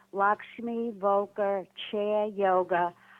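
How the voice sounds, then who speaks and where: A woman with a New York accent talks with fairly even intonation. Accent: New York accent, well known for it. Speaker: chair yoga teacher, caller. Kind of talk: call-in comment. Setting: phone or Skype call. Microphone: computer call with delay, echo.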